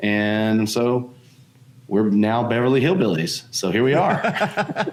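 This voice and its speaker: A man speaks with a slight Southern US accent. His pitch sits in the medium range. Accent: slight Southern drawl. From Alabama, Tuscaloosa. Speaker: board game publisher. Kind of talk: casual interview chat.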